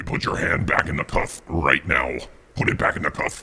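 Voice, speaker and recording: This is a put-on character voice, growling and sinister in tone. It moves at a moderate pace. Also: man, very deep, low pitch for a man. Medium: short film.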